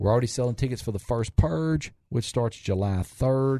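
Against a quiet background, a man with a Southern US accent talks at a moderate pace, his medium-pitched voice dark and mellow, with ordinary rise and fall. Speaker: restaurant owner. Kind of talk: casual chat. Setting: studio.

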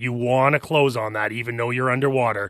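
In an ordinary speaking voice, a man talks at a fairly quick pace and medium pitch with a Canadian accent and ordinary pitch variation. The sound is dry and close with no echo, over a quiet background. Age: 40s. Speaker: real estate agent. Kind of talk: casual chat. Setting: studio.

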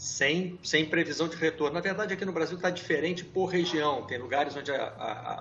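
Fairly quick and fairly high-pitched, a man talks over noticeable background noise. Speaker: sports journalism show host. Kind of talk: casual panel discussion. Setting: video call from home.

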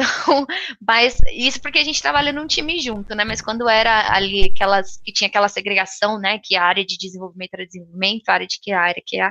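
A woman with a bright, sharp tone speaks at medium pitch and a fairly quick pace, her intonation lively and the sound dry and close with no echo. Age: 20s. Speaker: software QA tester and tech influencer. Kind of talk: interview.

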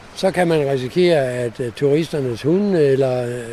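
A man's fairly high voice with ordinary pitch variation, over noticeable background noise. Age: 70s. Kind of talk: guided walk interview. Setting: outdoors.

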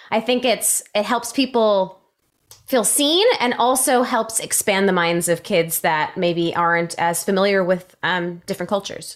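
A woman speaks in a normal speaking voice at medium pitch. Her pace is fairly slow, her loudness very even, and her pitch varies in an ordinary way. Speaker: voice actor.

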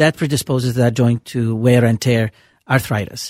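Dry and close with no echo, a man's medium-pitched voice moves at a fairly quick pace. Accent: Lebanese. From Lebanon. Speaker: rheumatologist. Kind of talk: call-in radio health talk. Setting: radio studio.

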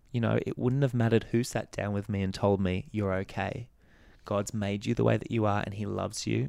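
With an Australian accent, a man speaks at a fairly quick pace in a fairly low voice with ordinary pitch variation. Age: 30s. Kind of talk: personal testimony in interview.

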